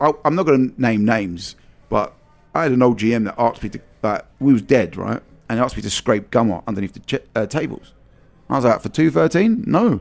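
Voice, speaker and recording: In a London accent, a man with a medium pitch talks at a very fast pace with lively intonation. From London, England. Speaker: vintage soccer merchandise store owner. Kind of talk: podcast interview conversation. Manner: exuberant, animated, profane.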